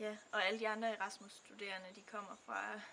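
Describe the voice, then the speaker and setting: Her tone is bright and sharp, but the woman's intonation stays monotone and flat. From Denmark. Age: 20s. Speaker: student. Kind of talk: testimony. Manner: halting, many fillers.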